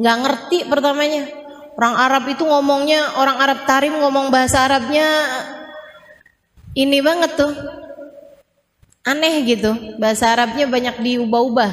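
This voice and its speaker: A woman's high voice with fairly even intonation and very even loudness, at a moderate pace with long, frequent pauses, in audible room echo. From Indonesia. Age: 40s. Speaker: Islamic preacher. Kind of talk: religious talk. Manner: casual conversational.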